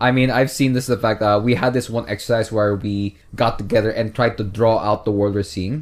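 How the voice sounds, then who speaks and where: With hardly any pauses, a man talks at a fairly quick pace in an animated tone and a medium pitch. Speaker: podcast host. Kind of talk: casual banter. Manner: animated, joking.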